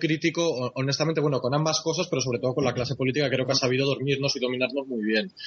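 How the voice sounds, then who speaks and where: A man's voice over noticeable background noise. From Spain. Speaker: journalist. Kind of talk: interview.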